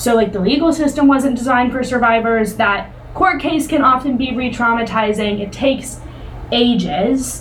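Amid noticeable background noise and audible room echo, a woman speaks at a moderate pace in a high pitch with ordinary pitch variation. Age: 20s. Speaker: podcast co-host for a survivor-support nonprofit. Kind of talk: casual educational discussion.

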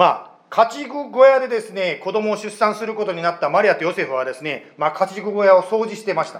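Amid noticeable background noise, a high-pitched man talks fairly quickly with hardly any pauses, lively intonation and big swings in loudness. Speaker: pastor. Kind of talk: sermon. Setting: church.

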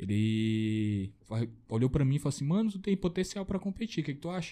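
Medium pitch from a man, swinging very widely up and down. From Acre, Brazil. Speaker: bodybuilder. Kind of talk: casual chat.

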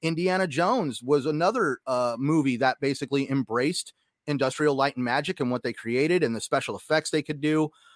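A man with a plain, everyday voice and fairly high pitch speaks at a fairly quick pace with ordinary pitch variation. The sound is dry and close, with no echo. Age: 30s. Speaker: gaming podcast co-host. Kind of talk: casual chat.

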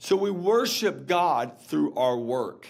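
A man with a fairly high pitch and vocal fry swings his pitch very widely. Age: 30s. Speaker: pastor and author. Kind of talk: interview.

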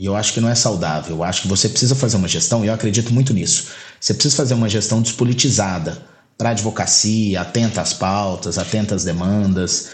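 A man's fairly low voice at a very fast pace, ordinary pitch variation, and audible room echo. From Goiás, Brazil. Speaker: lawyer and bar association president. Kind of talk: casual interview.

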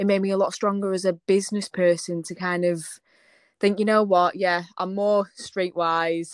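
In a very clean recording with a silent background, a woman speaks at a moderate pace and a medium pitch with monotone, flat intonation. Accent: northern English. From northern England. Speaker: small business owner, designer. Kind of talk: casual interview chat.

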